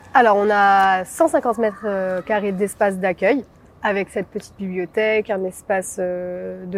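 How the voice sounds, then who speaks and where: With a plain, everyday voice, this woman talks in a medium register, her intonation fairly even throughout. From Marseille, southern France. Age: 20s. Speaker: founder of a social association. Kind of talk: interview. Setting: filmed on location.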